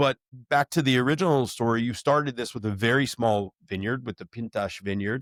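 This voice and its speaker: With an American accent and a normal speaking voice, a man talks at a fairly quick pace and medium pitch with ordinary pitch variation, in a very clean, dry, close recording with no echo and a silent background. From United States. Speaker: wine show host. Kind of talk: interview.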